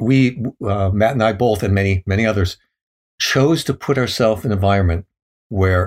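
Fairly quick and somewhat breathy, a man speaks with an American accent. The sound is dry and close with no echo, on a very clean recording with a silent background. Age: 70s. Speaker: thru-hiker and author. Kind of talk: casual interview, storytelling.

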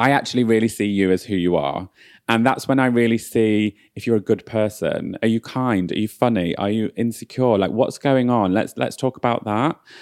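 With a northern English accent, a man speaks at a moderate pace with hardly any pauses, in a dry, close sound with no echo and a very clean recording over a silent background. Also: medium pitch for a man, ordinary pitch variation. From northern England. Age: 30s. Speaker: beauty brand founder. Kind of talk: casual chat.

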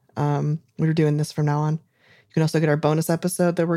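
A woman's very deep, low voice has a dark, mellow tone and flat, monotone intonation. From Southern California. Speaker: podcast host. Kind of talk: casual comedy chat.

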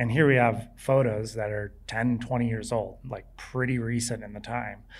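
Speaking with an American accent, a man of medium pitch talks at a fairly slow pace in a flat monotone, with audible room echo. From California beach town. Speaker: professional skier. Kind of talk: live interview before audience. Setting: outdoor stage with audience.

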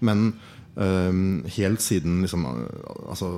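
A man talks with a very deep, low pitch and a dark, mellow tone. His pitch varies in an ordinary way. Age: 30s. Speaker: wine importer and producer. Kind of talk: live podcast conversation. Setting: stage with audience.

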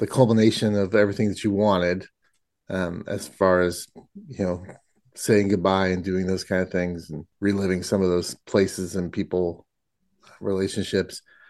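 The background is quiet. A man with an unremarkable speaking voice talks at a fairly slow pace and a fairly low pitch. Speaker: podcast host. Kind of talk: podcast interview.

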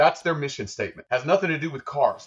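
A man talks in an animated tone. There is some breathiness to his voice. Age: 40s. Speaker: real estate investor and Marine veteran. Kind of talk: interview.

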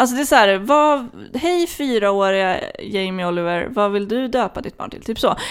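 In a very clean recording with a silent background, a woman with a fairly high voice and lively intonation talks at a moderate pace, her loudness swinging widely. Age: 20s. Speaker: podcast host. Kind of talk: casual chat.

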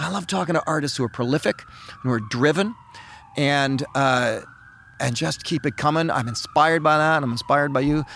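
The speaker is a man with a normal speaking voice and a fairly high pitch. He talks at a fairly quick pace with ordinary pitch variation. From Canada. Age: 50s. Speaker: podcast host. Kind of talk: interview.

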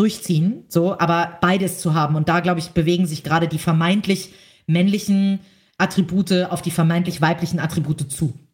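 A woman's somewhat breathy, fairly low voice at a fairly quick pace with fairly even intonation. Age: 30s. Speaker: entrepreneur and magazine publisher. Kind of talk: interview.

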